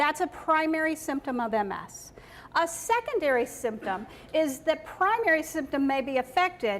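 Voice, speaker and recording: Against noticeable background noise, a woman speaks at a high pitch and a moderate pace with very wide pitch swings. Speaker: nurse practitioner presenter. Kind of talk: educational talk.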